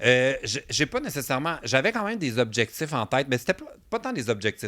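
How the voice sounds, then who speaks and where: The voice has a bright, sharp tone and lively intonation, moving at a fairly quick pace. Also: man. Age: 30s. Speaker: podcast guest, content creator. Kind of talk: casual chat.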